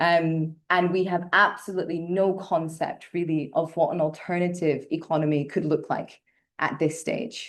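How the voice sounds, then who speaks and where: Against a quiet background, a woman speaks at a fairly low pitch with fairly even intonation. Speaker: climate journalist and podcaster. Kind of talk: lecture. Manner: fast.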